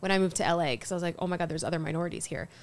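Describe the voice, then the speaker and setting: A woman with an American accent speaks in an animated tone at a fairly low pitch. The recording is very clean, with a silent background. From Colorado, US (Fort Collins). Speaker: stand-up comedian. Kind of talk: casual chat.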